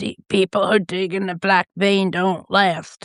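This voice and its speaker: A raspy, put-on character voice at middle pitch. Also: fairly slow pace. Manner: warning, ominous.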